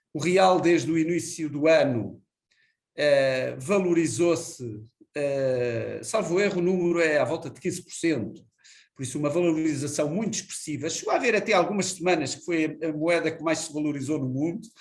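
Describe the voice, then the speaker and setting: A man talks at a moderate pace with a fairly high pitch. His loudness swings a lot, and there is audible room echo. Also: ordinary pitch variation. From Portugal. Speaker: energy company executive. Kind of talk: interview. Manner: frequent filler hesitations.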